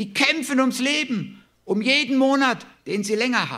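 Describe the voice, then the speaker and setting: With audible room echo, a man speaks in a bright, sharp tone. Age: 60s. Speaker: preacher. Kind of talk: sermon.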